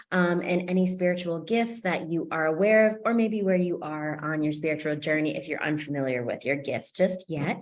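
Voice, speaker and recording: Over noticeable background noise and audible room echo, a woman with an American accent talks at a moderate pace with a fairly low pitch and lively intonation. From US Northeast, Boston, Massachusetts. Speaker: psychic medium and meetup host. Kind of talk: online group meeting facilitation.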